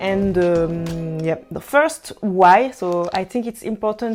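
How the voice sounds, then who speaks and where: The speaker has a strong French accent and ordinary pitch variation. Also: woman. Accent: French accent, self-described as strong. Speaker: language learning vlogger. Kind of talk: casual vlog talk. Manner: halting, many fillers.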